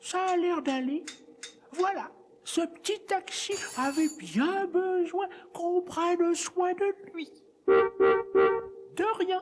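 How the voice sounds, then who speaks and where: An extremely high-pitched put-on character voice at a very slow pace, with long, frequent pauses. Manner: chatty, fussing.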